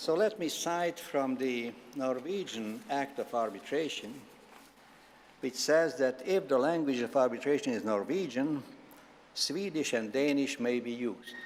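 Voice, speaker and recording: A man speaks at a fairly slow pace with a Hungarian accent. His pitch is fairly high. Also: lively intonation. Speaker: law professor. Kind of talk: formal opening speech. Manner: formal.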